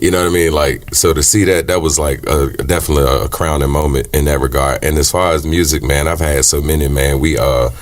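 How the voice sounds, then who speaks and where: Against noticeable background noise, a man with a very deep, low pitch talks at a fairly quick pace with hardly any pauses and fairly even intonation. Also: very even loudness. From Richmond, Virginia, US South. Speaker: singer-songwriter. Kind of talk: interview. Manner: casual, filler-heavy.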